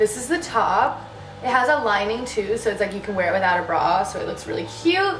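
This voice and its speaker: A woman talks at a fairly quick pace, with audible room echo and music playing in the background. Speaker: fashion vlogger. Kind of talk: casual try-on haul chat. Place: home room. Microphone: camera far.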